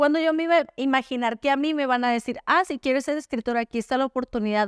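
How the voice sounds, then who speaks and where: Very fast and animated, a woman speaks with a Sonoran accent and lively intonation on a very clean recording with a silent background and a dry, close sound with no echo. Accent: Sonoran Mexican Spanish, somewhat blunt. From Sonora, northern Mexico. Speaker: author. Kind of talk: podcast interview.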